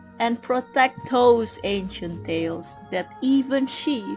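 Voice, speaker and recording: Music plays in the background as a woman with a fairly high pitch speaks at a very slow pace. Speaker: amateur narrator and hobbyist voice actor. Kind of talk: dramatic audiobook reading, storytelling narration.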